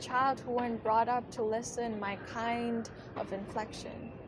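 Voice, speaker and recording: Noticeable background noise accompanies a delivery at a fairly slow pace. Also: woman. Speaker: poet. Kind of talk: slam poetry performance.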